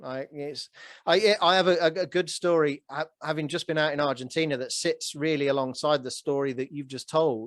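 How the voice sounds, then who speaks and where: A man with a normal speaking voice, fairly high in pitch, with fairly even intonation at a moderate pace, in a dry, close sound with no echo and a quiet background. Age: 40s. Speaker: real estate note investor. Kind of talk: podcast interview conversation.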